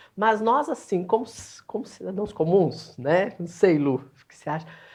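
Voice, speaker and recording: The background is quiet. Against it, a woman talks with lively intonation. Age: 60s. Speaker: moderator. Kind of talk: panel discussion.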